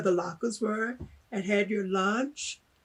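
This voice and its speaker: A fairly high-pitched woman with an American accent, very slow and somewhat breathy, with fairly even intonation. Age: 70s. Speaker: former student. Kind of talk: interview.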